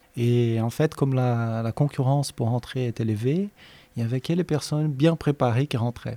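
At a moderate pace, a man with a Portuguese accent speaks at a medium pitch in a dark, mellow tone, the sound dry and close with no echo on a very clean recording with a silent background. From Brazil, Minas Gerais. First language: Portuguese (speaking French). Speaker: professor and researcher. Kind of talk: interview.

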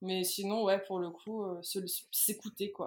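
With monotone, flat intonation, a woman's medium-pitched voice moves at a moderate pace. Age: 30s. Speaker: illustrator and mother. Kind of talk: testimony. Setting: remote recording. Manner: halting, many fillers and repetitions.

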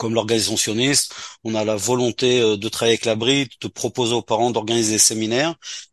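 Over a quiet background, a man talks at a fairly quick pace and a medium pitch. His intonation is monotone and flat, and the sound is dry and close with no echo. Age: 60s. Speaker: community organisation leader. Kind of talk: radio interview. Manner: halting.

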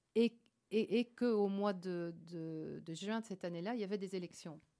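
A woman at medium pitch, dark and mellow in tone, with fairly even intonation. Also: long, frequent pauses. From Belgium, Liège province. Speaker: member of European Parliament, former TV journalist. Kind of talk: radio interview. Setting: radio studio.

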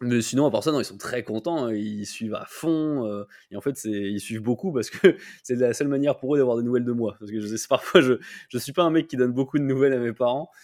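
On a very clean recording with a silent background, a man talks at a very fast pace. His loudness swings widely while his pitch varies in an ordinary way. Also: medium pitch for a man. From France and Japan. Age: 20s. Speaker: YouTuber. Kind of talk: interview.

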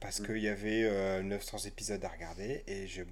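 Speaking at a moderate pace, a man uses a plain, everyday voice at a fairly low pitch. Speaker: podcast host. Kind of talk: casual chat.

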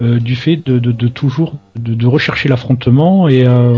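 At a fairly slow pace and a medium pitch, a man speaks with a southwestern French accent over noticeable background noise. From southwest France. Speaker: video game pundit. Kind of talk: casual chat. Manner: halting, repeats words.

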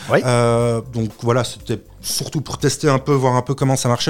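A man speaks over noticeable background noise. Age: 30s. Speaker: drinks brand founder. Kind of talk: interview. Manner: hesitant, many fillers.

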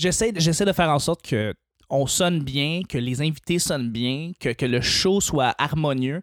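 An ordinary speaking voice from a man, fairly high-pitched and fairly slow, keeps ordinary pitch variation and very even loudness on a very clean recording with a silent background and a dry, close sound with no echo. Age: 20s. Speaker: podcaster. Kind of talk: casual chat.

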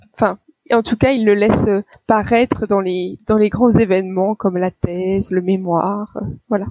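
A woman has a normal speaking voice with a medium pitch and fairly even intonation. She goes at a fairly slow pace, and the sound is dry and close with no echo. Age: 30s. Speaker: doctor. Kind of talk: interview.

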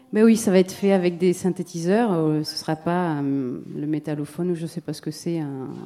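A woman with a plain, everyday voice, fairly low in pitch, with ordinary pitch variation, at a moderate pace. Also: big swings in loudness. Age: 40s. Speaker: musician and sound creator. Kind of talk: round table discussion.

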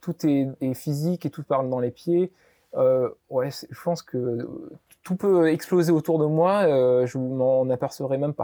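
The man's voice is fairly high in pitch, with a dark, mellow tone. He speaks very slowly, and the sound is dry and close with no echo. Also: ordinary pitch variation. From Réunion. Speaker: entrepreneur, olive oil business founder. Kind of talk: interview. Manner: calm.

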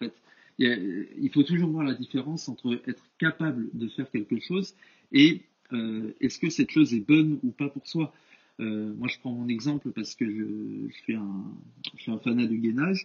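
Lively intonation marks speech delivered at a moderate speed. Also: man, medium pitch for a man. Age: 20s. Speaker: engineering student and personal trainer. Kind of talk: podcast interview. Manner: hesitant, many fillers.

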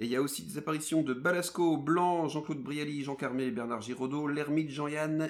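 In an unremarkable speaking voice with ordinary pitch variation, a man talks with hardly any pauses. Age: 30s. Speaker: podcast host. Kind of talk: casual chat.

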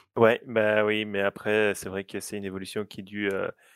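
A man talks at a fairly low pitch. His intonation stays monotone and flat. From Belgium. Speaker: app director for fan site. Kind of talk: casual chat.

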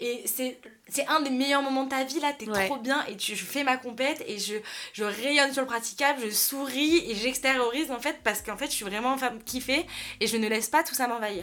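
A woman's high voice with ordinary pitch variation at a moderate pace, amid noticeable background noise. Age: 20s. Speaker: influencer talent manager. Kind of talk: casual chat.

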